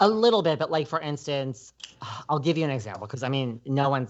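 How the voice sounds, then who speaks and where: A man with an American accent at a very fast pace, fairly high in pitch, with lively intonation. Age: 40s. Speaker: podcaster. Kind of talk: casual chat. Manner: says 'like' constantly.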